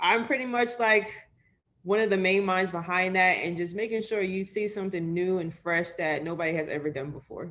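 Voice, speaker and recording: A normal speaking voice from a woman at medium pitch, with an American accent and a fairly quick pace. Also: ordinary pitch variation. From New York City (Harlem). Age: 20s. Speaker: sports media editor. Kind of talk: interview.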